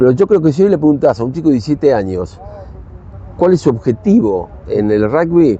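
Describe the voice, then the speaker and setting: Against noticeable background noise, a man with a Rioplatense accent speaks at a fairly quick pace in a fairly high voice with very wide pitch swings. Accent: Argentine Rioplatense Spanish. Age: 60s. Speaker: rugby coach and former international player. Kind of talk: casual chat.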